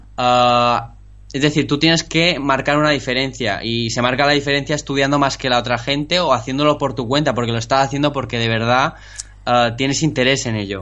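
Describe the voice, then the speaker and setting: A man at a fairly quick pace, medium in pitch, with fairly even intonation. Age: 20s. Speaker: programming student. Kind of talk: casual interview chat. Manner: halting, many repetitions.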